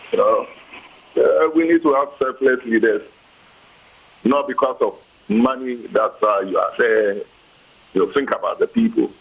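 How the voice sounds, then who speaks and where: Noticeable background noise runs beneath a man talking at a moderate pace. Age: old. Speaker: senior citizen. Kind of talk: TV interview answer.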